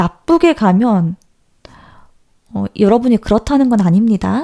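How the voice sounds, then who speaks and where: A woman's dark, mellow tone, fairly high pitch and lively intonation at a fairly slow pace, in a dry, close sound with no echo. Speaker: tarot reader. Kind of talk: tarot reading talk to viewers. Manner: natural unaltered voice.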